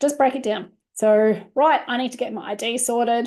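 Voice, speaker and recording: This woman speaks with an Australian accent. Her pitch is fairly high, with ordinary variation. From Australia, Queensland supporter born in New South Wales. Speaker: family lawyer and webinar presenter. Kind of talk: webinar presentation. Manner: fast; casual, filler-heavy.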